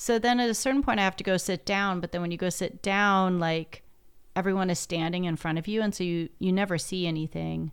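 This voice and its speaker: Against a very clean recording with a silent background, a woman speaks at a fairly quick pace and medium pitch. She has ordinary pitch variation and an unremarkable speaking voice. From US Pacific Northwest. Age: 40s. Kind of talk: casual chat.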